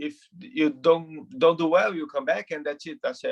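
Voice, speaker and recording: A man speaks with a Brazilian Portuguese accent. His pitch varies in an ordinary way. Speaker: retired footballer. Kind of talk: interview. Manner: halting, repeats words.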